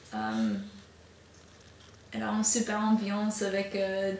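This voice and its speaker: Speaking very slowly with an English accent, a woman uses a fairly high pitch amid noticeable background noise and audible room echo. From United States. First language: English (speaking French). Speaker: au pair and language student. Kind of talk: interview. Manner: halting, many hesitations.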